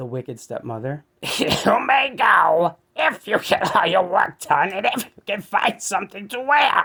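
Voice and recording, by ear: Putting on a character voice, a man speaks high at a moderate pace, his pitch swinging very widely.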